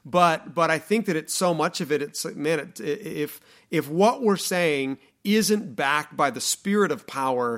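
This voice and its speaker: Here a man talks at a fairly slow pace in an ordinary speaking voice. The recording is very clean with a silent background. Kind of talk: casual podcast discussion.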